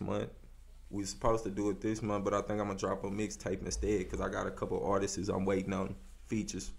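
Speaking very fast with an American accent, a man uses a fairly low pitch with vocal fry and ordinary pitch variation. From Austin, Texas. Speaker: rapper; interview guest. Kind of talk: casual interview. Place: studio. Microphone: studio mic.

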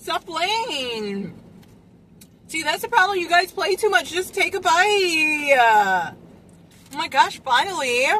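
A woman's raised, projected voice, very slow with long, frequent pauses and very wide pitch swings, dry with no echo and light background noise. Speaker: food vlogger. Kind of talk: casual vlog chat. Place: car. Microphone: phone near.

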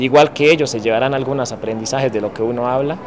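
A man at a fairly quick pace with ordinary pitch variation, over light background noise. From Colombia, Cauca; Colombia. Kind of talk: testimony. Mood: calm, thoughtful. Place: street.

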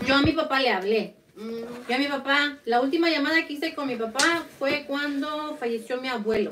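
High female pitch over noticeable background noise. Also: ordinary pitch variation, moderate pace. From Mexico (Zacatecas); Mexico. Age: 30s. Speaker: podcast co-host. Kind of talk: casual chat. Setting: livestream. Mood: personal, reflective. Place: home room. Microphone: studio mic.

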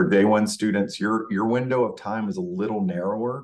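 A moderate pace with very wide pitch swings. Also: man. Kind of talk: presentation walkthrough. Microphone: webcam.

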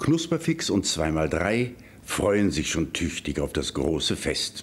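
The speech moves at a very slow pace with very wide pitch swings, yet the loudness stays very even. Light background noise sits underneath. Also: man, fairly low pitch for a man. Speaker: news presenter. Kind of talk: fairy tale reading. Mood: warm, lively storytelling. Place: studio. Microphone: studio mic.

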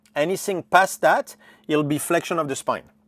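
A man speaks at a moderate pace and fairly high pitch with ordinary pitch variation, recorded very cleanly against a silent background with a dry, close sound and no echo. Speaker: strength coach, movement specialist. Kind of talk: interview answer.

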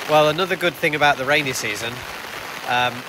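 The speaker has an English accent and fairly even intonation. Noticeable background noise runs under the voice. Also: man. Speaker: family vlogger. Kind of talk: vlog narration. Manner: casual with fillers.

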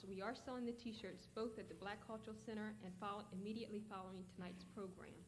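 Over noticeable background noise, a woman with a medium pitch talks very fast in a flat monotone, hardly pausing at all. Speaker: event announcer. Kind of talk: announcement.

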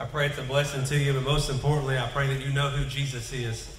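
Room echo is audible as a man talks at a fast pace. His pitch is medium, with little pitch movement.

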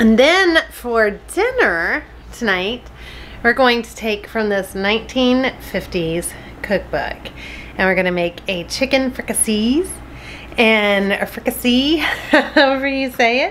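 A woman at a very slow pace, lively intonation over light background noise. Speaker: home cooking vlogger. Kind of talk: casual vlog chat. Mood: cheerful, smiling. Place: kitchen. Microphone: phone near.

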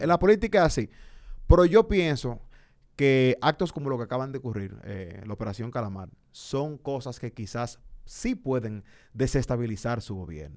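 A man speaks at a moderate pace against a quiet background. His pitch swings very widely, and his loudness rises and falls by large amounts. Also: medium pitch for a man. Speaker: podcast host. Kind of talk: heated debate. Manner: casual, laughing. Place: studio. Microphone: studio mic.

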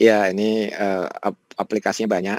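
At a moderate pace, a man speaks with a fairly low pitch in a dry, close sound with no echo. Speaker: professor and AI researcher. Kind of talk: webinar lecture. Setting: video call from home. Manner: casual, relaxed.

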